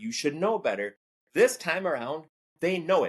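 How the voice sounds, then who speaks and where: The voice has lively intonation. It carries a Minnesotan accent. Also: man. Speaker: former teacher and political commentator. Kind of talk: casual chat.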